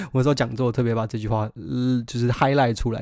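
An ordinary speaking voice from a man at medium pitch, fairly quick in pace, on a very clean recording with a silent background. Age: 20s. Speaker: musician podcast host. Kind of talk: solo podcast monologue. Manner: casual, conversational.

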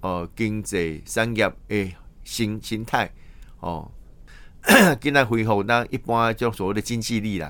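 The voice is a man's, fairly low in pitch. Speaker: radio news host. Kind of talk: news commentary. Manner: halting, many fillers.

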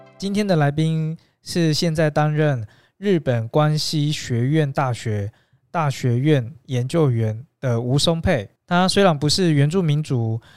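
In a very clean recording with a silent background, a man speaks very slowly at a fairly high pitch with ordinary pitch variation. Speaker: podcast host. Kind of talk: interview. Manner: formal.

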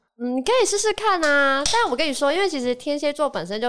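This woman has a high pitch. She talks at a fairly quick pace. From Taiwan, Kaohsiung. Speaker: podcast guest. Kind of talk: casual chat.

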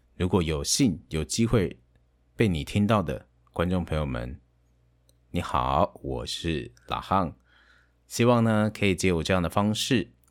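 Very deep and low, this man's voice carries lively intonation at a fairly slow pace. He leaves long, frequent pauses, and the recording is very clean with a silent background. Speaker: game streamer and aspiring voice actor. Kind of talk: casual monologue. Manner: halting, with fillers.

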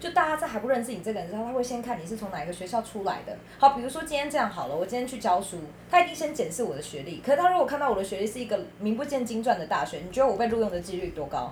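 Amid noticeable background noise, a woman with a fairly high voice talks very fast, her pitch swinging very widely and her loudness shifting in big swings. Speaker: teacher. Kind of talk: casual chat.

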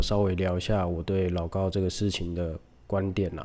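A man talks at a moderate pace in a very deep, low voice with monotone, flat intonation. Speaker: podcast host. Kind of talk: casual solo monologue, unscripted. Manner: odd speech rate and rhythm; hesitant, many fillers.

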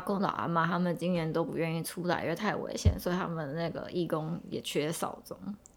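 A woman with an ordinary speaking voice talks at a fairly quick pace, fairly low in pitch, with hardly any pauses. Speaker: podcast co-host. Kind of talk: casual chat.

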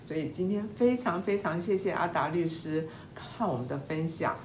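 A woman speaks at a moderate pace with a fairly low pitch. Audible room echo surrounds her voice. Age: 70s. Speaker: podcast host. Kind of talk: interview.

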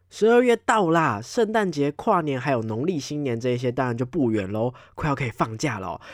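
A man's animated, medium-pitched voice, fairly quick with hardly any pauses and very wide pitch swings, on a very clean recording with a silent background. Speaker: podcast host. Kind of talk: casual monologue.

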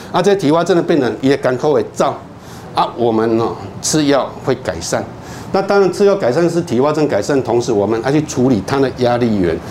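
A man talks at a fairly quick pace with a fairly high pitch, very wide pitch swings and very even loudness. Audible room echo and noticeable background noise fill the recording. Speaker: psychiatrist. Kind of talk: lecture. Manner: storytelling, animated.

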